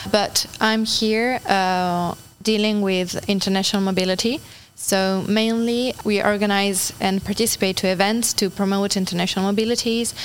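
With an Italian accent, a woman speaks at a medium pitch and moderate pace in a flat monotone, her loudness very even. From Italy (Turin). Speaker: volunteer. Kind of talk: interview.

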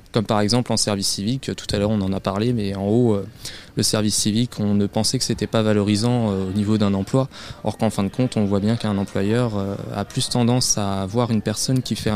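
Fairly quick and fairly low, a man speaks in a monotone with flat intonation. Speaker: civic service volunteer. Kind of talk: radio interview.

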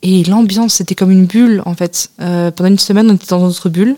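Her tone is dark and mellow, at a medium pitch for a woman. She talks at a fairly quick pace with fairly even intonation. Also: dry, close sound with no echo. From France. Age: 20s. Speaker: returning European volunteer. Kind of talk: radio interview.

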